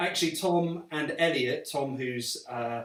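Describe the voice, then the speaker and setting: Speaking with a slight Welsh accent, a man uses ordinary pitch variation. Background noise is noticeable. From Wales. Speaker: actor and writer, live stream co-host. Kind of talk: casual live stream chat.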